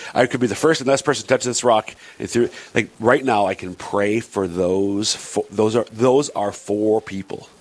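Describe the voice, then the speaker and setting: Noticeable background noise accompanies the recording. A man speaks at medium pitch with ordinary pitch variation. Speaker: radio show co-host. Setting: radio studio. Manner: fast talker.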